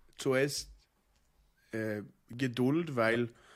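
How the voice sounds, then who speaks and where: On a very clean recording with a silent background, a man with a Norwegian accent speaks with fairly even intonation. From Norway, Oslo. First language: Norwegian (speaking German). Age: 30s. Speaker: rabbi. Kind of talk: casual interview. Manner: halting, many hesitations.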